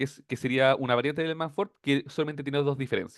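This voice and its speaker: This man speaks with a Chilean accent. His pitch is fairly high. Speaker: teaching assistant. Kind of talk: tutorial. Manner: fast.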